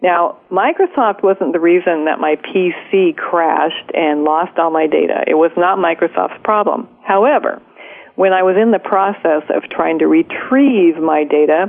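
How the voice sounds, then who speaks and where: A woman with a fairly low pitch, an ordinary speaking voice and very even loudness. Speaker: radio host. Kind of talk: radio interview.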